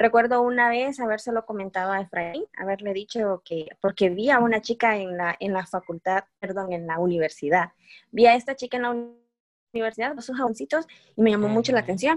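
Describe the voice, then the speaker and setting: In a dry, close sound with no echo, a woman with a normal speaking voice talks at a fairly quick pace and fairly high pitch with ordinary pitch variation. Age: 20s. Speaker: entrepreneur and pharmacy student. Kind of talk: interview. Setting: remote call.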